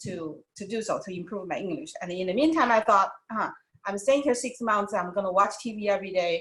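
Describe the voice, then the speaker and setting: Speaking with a Chinese accent at a fairly quick pace, a woman with a medium pitch shows ordinary pitch variation and big swings in loudness. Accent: Mandarin Chinese accent in English. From China, Wuhan. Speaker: doctor, former TV host. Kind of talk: interview. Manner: halting.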